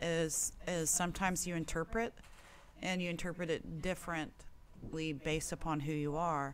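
A normal speaking voice talks at a moderate pace with fairly even intonation. Its loudness stays very even. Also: woman, fairly low pitch for a woman. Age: 40s. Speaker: guest panelist. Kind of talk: casual chat.

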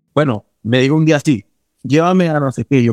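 This man's tone is dark and mellow. He uses ordinary pitch variation. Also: dry, close sound with no echo. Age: 20s. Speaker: actor. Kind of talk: personal storytelling interview.

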